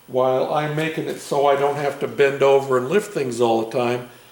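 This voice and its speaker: A man speaks at a fairly slow pace in a relaxed tone, his medium-pitched voice carrying fairly even intonation over noticeable background noise and audible room echo. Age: 60s. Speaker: DIY mechanic and fabricator. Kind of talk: casual vlog talk. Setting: home garage. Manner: relaxed, hesitant with fillers.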